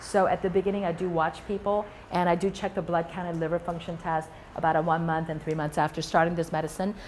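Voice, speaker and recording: A woman with a fairly low pitch talks at a fairly quick pace, keeping her intonation fairly even. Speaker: rheumatologist. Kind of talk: lecture. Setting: stage with audience. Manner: fast.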